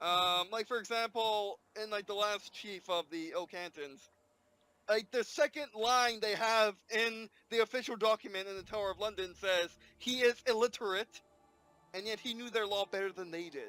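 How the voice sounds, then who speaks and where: A man speaks in a raised, projected voice with a high pitch and a bright, sharp tone. His pitch varies in an ordinary way at a moderate pace, and the sound is dry and close with no echo. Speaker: gaming video creator. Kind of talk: let's play gameplay commentary. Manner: halting, many fillers and restarts.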